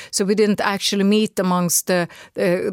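A woman talks at a medium pitch and a moderate pace. The recording is very clean with a silent background and a dry, close sound with no echo. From Sweden. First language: Swedish. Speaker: radio commentator. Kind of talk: interview. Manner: animated; halting.

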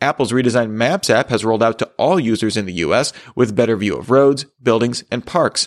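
Against a quiet background, a man with a medium pitch and an unremarkable speaking voice talks at a fairly quick pace with ordinary pitch variation. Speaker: tech news host. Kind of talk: news reading, scripted headlines bulletin. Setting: studio. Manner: formal, steady and brisk; even, neutral delivery.

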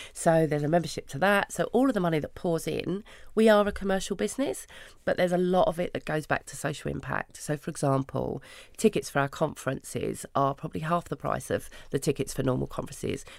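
On a very clean recording with a silent background, a woman speaks very fast in a London accent. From London, Hackney. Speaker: founder of a women's networking business. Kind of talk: interview.

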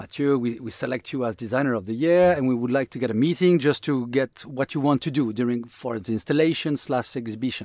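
A man speaks with a French accent at a medium pitch. His pace is fairly quick and his pitch varies in an ordinary way. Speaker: designer, designer of the year. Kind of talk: interview conversation.

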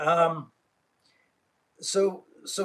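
A man talks with a fairly bright tone at a fairly high pitch.

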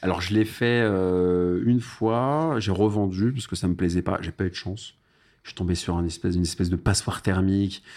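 A man's very deep, low voice moves fairly quickly with ordinary pitch variation, recorded very cleanly against a silent background. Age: 30s. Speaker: parking investor and entrepreneur. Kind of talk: casual interview.

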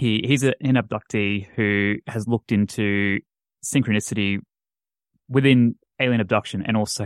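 Recorded very cleanly with a silent background and a dry, close sound with no echo, a man uses a plain, everyday voice at fairly low pitch, moderate pace and fairly even intonation. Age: 20s. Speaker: paranormal podcaster. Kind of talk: casual chat.

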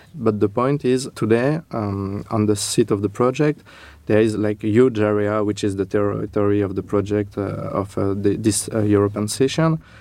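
In a French accent, a man speaks at a fairly low pitch with a dark, mellow tone. He keeps a moderate pace. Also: ordinary pitch variation. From France. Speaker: architect. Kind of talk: interview. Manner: halting.

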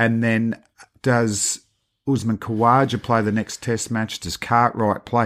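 Speaking in an Australian accent, the voice moves at a fairly slow pace with a monotone, flat intonation. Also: man, medium pitch for a man. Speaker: cricket podcast host. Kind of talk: casual chat.

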